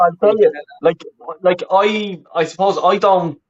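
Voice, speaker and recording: This is a man talking. He speaks with a Dublin accent. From Ireland, Roscommon then Dublin from age twelve. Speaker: football fan and YouTuber. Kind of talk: casual interview chat. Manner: halting, many repetitions and fillers.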